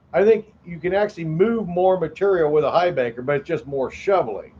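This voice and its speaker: A man talks loudly at a moderate pace, his pitch high with ordinary variation. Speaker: gold prospecting livestream host. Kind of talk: casual livestream chat.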